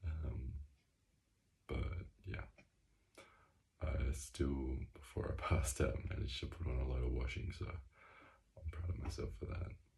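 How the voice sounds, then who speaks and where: A quiet man with a very deep, low pitch, a dark, mellow tone and vocal fry, at a fairly slow pace with long, frequent pauses and ordinary pitch variation, in audible room echo. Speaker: video diarist. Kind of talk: personal video diary. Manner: quiet, hushed; hesitant, many fillers.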